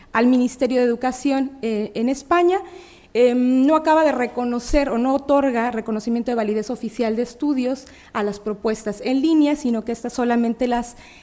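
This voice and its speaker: With a Mexican accent, a woman speaks at a high pitch in a dark, mellow tone. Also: ordinary pitch variation, moderate pace. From Mexico, Puebla. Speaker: academic researcher. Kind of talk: conference talk. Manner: halting, many fillers.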